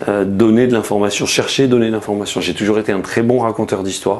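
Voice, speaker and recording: With noticeable background noise behind him, a man talks with a slight Marseille accent and ordinary pitch variation. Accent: mild Marseille. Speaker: journalist. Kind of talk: interview. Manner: hesitant, many fillers and restarts.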